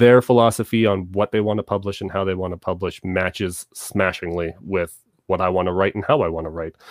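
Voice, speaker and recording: A man with a Canadian accent talks fairly quickly at a fairly low pitch with fairly even intonation in a normal speaking voice. The sound is dry and close with no echo, over a quiet background. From Southern Ontario, Canada. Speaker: author. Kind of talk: interview.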